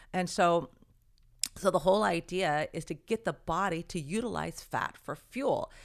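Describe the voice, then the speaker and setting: With an ordinary speaking voice, a woman of fairly low pitch talks at a moderate pace with lively intonation in a very clean recording with a silent background. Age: 60s. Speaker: certified nutritionist. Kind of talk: interview.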